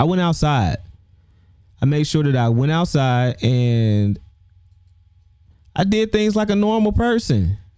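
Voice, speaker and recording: A man's dark, mellow voice swings very widely in pitch while its loudness stays very even. Long pauses come frequently. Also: fairly slow pace. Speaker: YouTube livestream host. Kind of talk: casual livestream monologue. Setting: livestream. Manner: stutters, repeats words.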